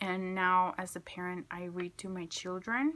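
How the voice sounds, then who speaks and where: On a very clean recording with a silent background, a woman speaks. She has a Spanish accent and a medium pitch. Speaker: student. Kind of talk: class video presentation. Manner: hesitant, many fillers.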